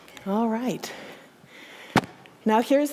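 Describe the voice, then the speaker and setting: Noticeable background noise sits behind a woman's voice. She talks at a moderate pace with a fairly high pitch. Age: 60s. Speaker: minister. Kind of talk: sermon. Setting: church.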